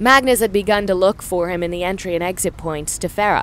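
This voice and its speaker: With ordinary pitch variation, this is a normal speaking voice. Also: woman. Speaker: audiobook narrator. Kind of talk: audio drama narration.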